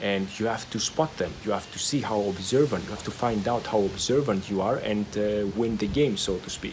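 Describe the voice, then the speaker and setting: Over noticeable background noise, a man talks at a moderate pace with hardly any pauses. His pitch varies in an ordinary way. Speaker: stuttering recovery video creator. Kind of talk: motivational talk to camera. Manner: hesitant with fillers and repetitions.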